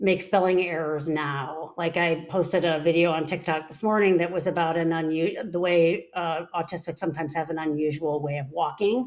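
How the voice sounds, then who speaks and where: With an ordinary speaking voice, a woman talks at a moderate pace with hardly any pauses, a fairly low pitch, and fairly even intonation. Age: 60s. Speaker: psychologist and podcast co-host. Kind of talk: casual chat.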